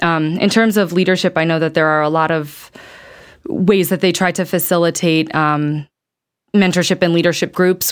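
In an American accent, a woman speaks at a moderate pace with a fairly low pitch and monotone, flat intonation. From US Midwest, Chicago. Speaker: medical resident in obstetrics and gynecology. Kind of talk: casual interview.

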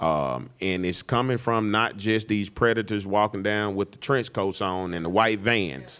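With a normal speaking voice, a man talks at a fairly low pitch with lively intonation. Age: 30s. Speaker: police officer. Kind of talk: interview in front of a church audience.

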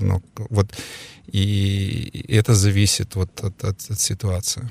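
A man's somewhat breathy, fairly low voice. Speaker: investment company president and entrepreneur. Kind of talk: interview conversation. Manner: calm, measured.

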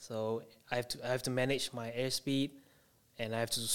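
A man speaks at a moderate pace in a medium pitch, his bright, sharp tone delivered in a monotone, flat intonation. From Malaysia, Sabah. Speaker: student pilot. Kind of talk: interview. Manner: halting.

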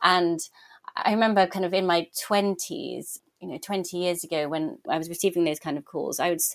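The recording is very clean, with a silent background. The intonation is fairly even. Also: woman. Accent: British. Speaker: journalist and broadcaster. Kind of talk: interview conversation.

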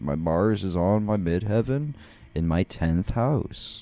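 A man speaks with music in the background. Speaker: podcast host. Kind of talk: casual solo podcast monologue. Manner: rambling, filler-heavy, jokey.

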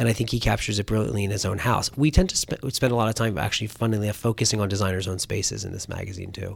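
Very fast, somewhat breathy delivery with hardly any pauses and fairly even intonation. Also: man, fairly low pitch for a man. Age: 30s. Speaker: magazine editor. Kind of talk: interview. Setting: office.

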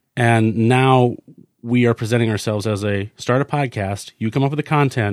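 An ordinary speaking voice from a man with an American accent comes through a dry, close sound with no echo, at medium pitch, a moderate pace and fairly even intonation. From rural New Hampshire, US. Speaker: podcast studio owner. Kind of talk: casual interview chat. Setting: podcast studio.

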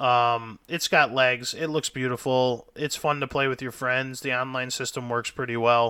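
A man speaks at a moderate pace with hardly any pauses, his medium-pitched voice bright and sharp in tone. His intonation is monotone and flat. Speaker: podcast host and gamer. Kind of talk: casual podcast chat. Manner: confident, talkative.

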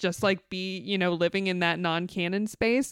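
A plain, everyday voice: a woman with an American accent at medium pitch, moderate pace and fairly even intonation, in a very clean recording with a silent background and a dry, close sound with no echo. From US West Coast, Southern California (San Fernando Valley). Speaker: podcast co-host and writer. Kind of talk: casual interview.

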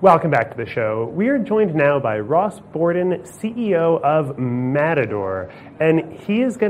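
A man speaks at a moderate pace with very wide pitch swings. Background noise is noticeable. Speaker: morning TV show host. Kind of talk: morning show hosting and interview. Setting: TV studio.

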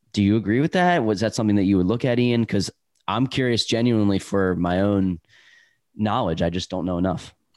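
A man in a normal speaking voice talks at a fairly quick pace over a quiet background. His pitch is fairly low, with ordinary pitch variation. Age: 30s. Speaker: podcast co-host. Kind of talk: podcast interview.

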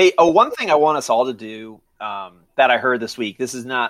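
Speaking with a plain, everyday voice, a man keeps a medium pitch, a moderate pace and ordinary pitch variation. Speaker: podcast host. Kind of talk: casual banter.

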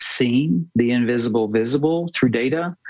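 In an American accent, a man uses a normal speaking voice at a medium pitch, with ordinary pitch variation and a moderate pace. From United States. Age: 50s. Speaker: researcher and entrepreneur. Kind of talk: podcast interview.

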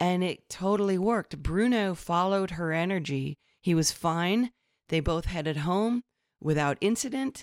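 On a very clean, dry, close recording with no echo and a silent background, a woman with a fairly low voice speaks at a moderate pace, with lively intonation and very even loudness. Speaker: podcast host. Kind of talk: solo podcast monologue. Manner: casual, unscripted.

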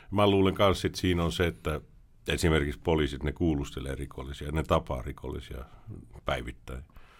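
Very deep and low, this man's voice carries vocal fry. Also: ordinary pitch variation, moderate pace. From Sweden (Finnish family, moved at age 4). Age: 40s. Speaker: former criminal turned author and prevention worker. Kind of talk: podcast interview.

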